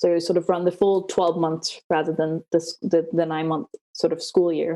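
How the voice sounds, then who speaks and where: A woman with a Danish accent speaks in a dark, mellow tone. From Denmark. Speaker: PhD student. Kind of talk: interview. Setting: video call.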